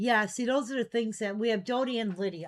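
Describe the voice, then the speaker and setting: With an ordinary speaking voice, a woman talks at a fairly quick pace in a fairly high pitch, her pitch varying in an ordinary way. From US Midwest, Chicago area. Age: 60s. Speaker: online collectibles seller. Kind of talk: live selling stream chat. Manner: casual, chatty.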